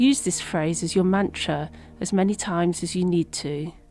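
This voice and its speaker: Using an ordinary speaking voice, a woman talks at a fairly slow pace with a fairly low pitch and ordinary pitch variation. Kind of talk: guided meditation. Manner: calm, soothing, slow.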